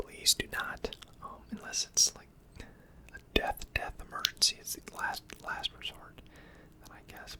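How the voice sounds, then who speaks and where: Against noticeable background noise, a man whispers at a fairly slow pace with big swings in loudness. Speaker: finance educator / ASMR creator. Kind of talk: educational talk on personal finance, ASMR-style.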